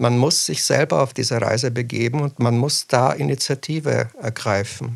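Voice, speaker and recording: A man's medium-pitched voice with vocal fry at a moderate pace. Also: ordinary pitch variation. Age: 40s. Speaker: children's book author. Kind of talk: interview.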